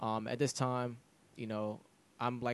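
This man talks in a monotone with flat intonation at a medium pitch. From Jamaica, St. Andrew parish. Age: 20s. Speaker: musician. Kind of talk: casual interview.

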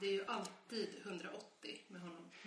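A woman's fairly even intonation amid noticeable background noise and audible room echo. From Sweden, Stockholm area (Nacka). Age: 30s. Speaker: podcast co-host, parent. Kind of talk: casual chat.

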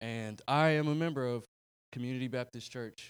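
Man with a Southern US accent, medium pitch, ordinary pitch variation and a fairly quick pace. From North Carolina. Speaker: bible school student. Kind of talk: testimony. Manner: halting.

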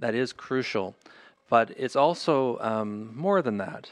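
He speaks with a Canadian accent at a moderate pace. This man's voice sits at a medium pitch. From Northern Ontario, Canada (Thunder Bay). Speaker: historian and author. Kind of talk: interview. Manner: halting, many fillers and repetitions.

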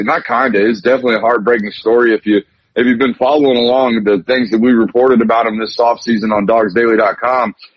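An ordinary speaking voice, delivered at a fairly quick pace. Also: man. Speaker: sports reporter. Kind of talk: sports talk radio interview.

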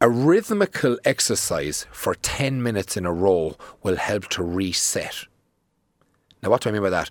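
With an Irish accent, a man talks at a moderate pace in a fairly low pitch, using lively intonation and long, frequent pauses. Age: 30s. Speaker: fitness tutor. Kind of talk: casual chat.

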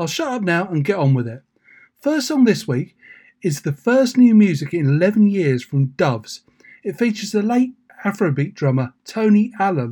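A man speaks at a moderate pace in a high voice with big pitch swings, a dark, mellow tone, and a slightly husky edge.

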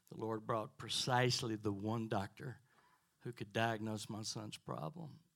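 A man's normal speaking voice, medium in pitch, at a moderate pace with ordinary pitch variation. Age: 60s. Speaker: pastor. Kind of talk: testimony. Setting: church with congregation.

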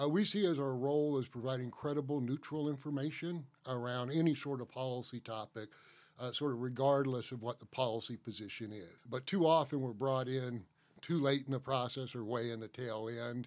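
An unremarkable speaking voice from a man with an American accent, medium in pitch with ordinary pitch variation, at a fairly quick pace, in a very clean recording with a silent background. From US South, Atlanta, Georgia. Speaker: state forester. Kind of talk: interview.

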